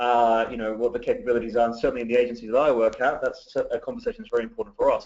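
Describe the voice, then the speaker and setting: With a slight British accent, a man talks at a very fast pace with hardly any pauses. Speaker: digital marketing director. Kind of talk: webinar presentation. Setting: webinar call.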